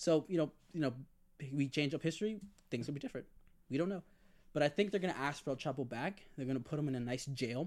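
Very fast speech broken by long, frequent pauses, with ordinary pitch variation. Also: man, fairly high pitch for a man. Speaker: podcast host. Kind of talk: casual chat. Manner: joking, bantering.

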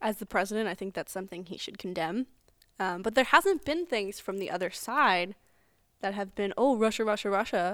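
Woman with an ordinary speaking voice, medium pitch, ordinary pitch variation and moderate pace, in a very clean recording with a silent background. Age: 20s. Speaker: student podcast co-host. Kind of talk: casual political discussion.

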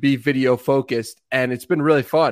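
At a moderate pace, an unremarkable speaking voice comes through against a quiet background. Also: man. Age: 20s. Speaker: podcaster. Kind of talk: casual chat.

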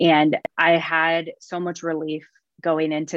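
A woman with an American accent and a very deep, low pitch. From Missouri. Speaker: past bride. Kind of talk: interview.

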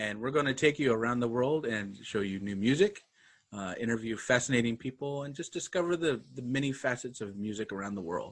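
A man speaks at a medium pitch with an American accent, moving at a fairly quick pace. His voice is unremarkable, with lively intonation over a quiet background. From Idaho, US. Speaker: music podcast host and composer. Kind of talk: casual chat, podcast intro.

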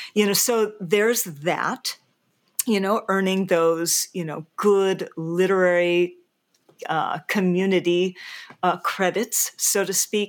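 On a very clean recording with a silent background, a woman speaks at a very slow pace with medium pitch and fairly even intonation. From Hawaii. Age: 60s. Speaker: novelist. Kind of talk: interview conversation.

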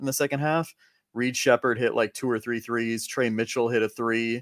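On a very clean recording with a silent background and a dry, close sound with no echo, a man in a normal speaking voice talks at medium pitch, at a fairly quick pace with fairly even intonation. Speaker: college basketball podcast host. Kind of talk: casual sports chat.

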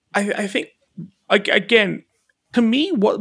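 A man mumbles his words. He speaks with an Australian accent. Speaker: podcast host. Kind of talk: casual chat. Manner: mumbles and stutters.

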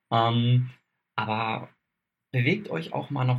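A somewhat breathy man's voice at a medium pitch. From southern Baden, Kaiserstuhl near Freiburg. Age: 20s. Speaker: photographer and camera shop adviser. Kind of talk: casual interview.

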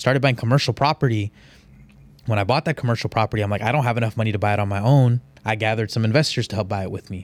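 Someone with an American accent talks at a very fast pace with fairly even intonation. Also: man, medium pitch for a man. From Houston, Texas. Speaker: real estate investor. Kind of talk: interview.

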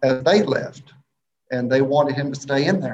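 At a moderate pace, this voice comes through somewhat breathy. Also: man. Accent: Mississippi. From Mississippi, small town between Jackson and Hattiesburg. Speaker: elementary school teacher. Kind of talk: casual interview chat.

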